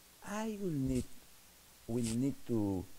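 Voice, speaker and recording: A man's voice, medium in pitch and dark and mellow in tone, moves very slowly through very wide pitch swings with audible room echo. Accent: strong Spanish. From Peru. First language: Spanish. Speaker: novelist. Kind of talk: lecture. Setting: stage with audience. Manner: halting.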